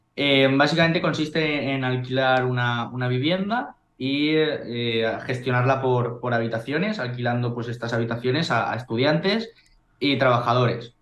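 The speaker has a plain, everyday voice. The pace is moderate and the pitch variation ordinary. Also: man, medium pitch for a man. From Spain, Valencia. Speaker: real estate investor. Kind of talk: interview.

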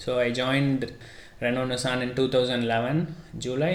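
A man's medium-pitched voice with fairly even intonation and audible room echo. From India, Chennai. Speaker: automotive engineer and educator. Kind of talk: podcast interview.

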